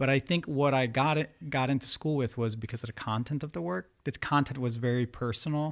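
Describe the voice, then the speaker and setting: Over a quiet background, a man with a plain, everyday voice and an American accent speaks at a fairly quick pace and medium pitch, with ordinary pitch variation and hardly any pauses. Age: 30s. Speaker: painter. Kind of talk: interview.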